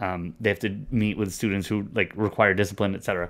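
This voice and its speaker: Fairly low in pitch, a man talks at a moderate pace in an unremarkable speaking voice. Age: 40s. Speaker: podcast co-host discussing school district. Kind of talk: casual chat. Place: home room. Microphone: studio mic.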